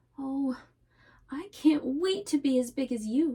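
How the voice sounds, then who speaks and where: A woman's put-on character voice, high in pitch, with ordinary pitch variation and a fairly slow pace. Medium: read story.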